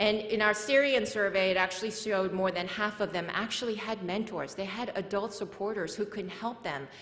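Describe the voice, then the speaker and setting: The voice has ordinary pitch variation, with audible room echo and noticeable background noise. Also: woman. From South Korea, moved to US at age eight. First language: Korean. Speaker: nonprofit founder and speaker. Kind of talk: conference talk.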